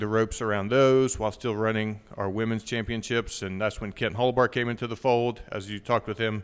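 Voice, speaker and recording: Against a silent background in a very clean recording, a man with an American accent speaks fairly quickly at a medium pitch in a flat monotone. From southwest Virginia. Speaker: golf association executive director. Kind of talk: interview.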